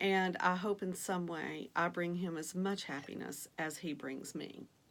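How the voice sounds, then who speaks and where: With a Southern US accent, a woman speaks at a fairly slow pace, her pitch fairly low and her intonation fairly even. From Virginia, US South. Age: 50s. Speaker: vlogger, online reseller. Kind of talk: casual vlog introduction. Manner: hesitant with frequent fillers.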